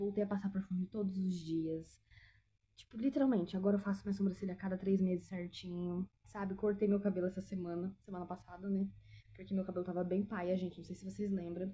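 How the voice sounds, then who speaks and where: A woman at medium pitch, dark and mellow in tone, somewhat breathy, with flat, monotone intonation and a fairly quick pace. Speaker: lifestyle vlogger. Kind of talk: casual chat. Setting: at home.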